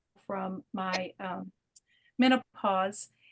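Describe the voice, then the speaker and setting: A woman's voice comes through dry and close, with no echo. Her pitch varies in an ordinary way. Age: 50s. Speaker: wellness product distributor. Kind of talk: testimony. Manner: animated.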